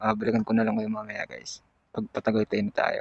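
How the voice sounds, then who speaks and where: The man's voice has ordinary pitch variation and a dry, close sound with no echo. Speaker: motovlogger. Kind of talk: casual vlog narration while riding. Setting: riding a motorcycle on an expressway at night.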